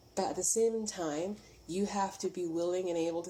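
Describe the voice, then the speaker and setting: With music in the background, a woman speaks at a moderate pace in a fairly low pitch with ordinary pitch variation. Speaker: spiritual reader. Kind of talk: spiritual message vlog. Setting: getting ready for work at home.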